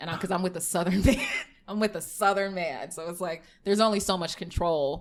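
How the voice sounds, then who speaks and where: A woman talks at a fairly quick pace, using a medium pitch with ordinary pitch variation. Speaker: podcast co-host, psychology doctoral student. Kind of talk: casual chat. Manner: loud; fast.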